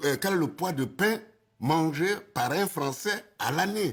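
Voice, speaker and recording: Lively intonation runs through a man's fairly slow speech. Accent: West African. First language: Senufo (speaking French). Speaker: witness of colonial schooling. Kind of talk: documentary interview testimony.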